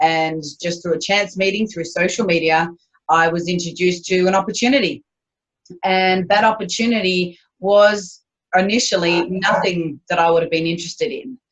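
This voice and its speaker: A woman with an Australian accent, medium pitch, ordinary pitch variation and a moderate pace. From Australia, Queensland. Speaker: business owner. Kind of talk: interview.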